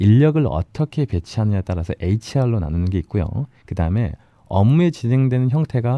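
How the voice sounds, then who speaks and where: Over a quiet background, a man talks very fast at medium pitch with very wide pitch swings. His tone is dark and mellow, and the sound is dry and close with no echo. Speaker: business consultant. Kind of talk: radio interview, explanatory. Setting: radio studio.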